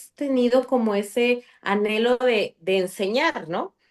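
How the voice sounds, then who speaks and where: A woman speaks loudly at a high pitch in an animated tone. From Mexico City, later Chiapas. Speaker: podcast guest. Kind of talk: interview.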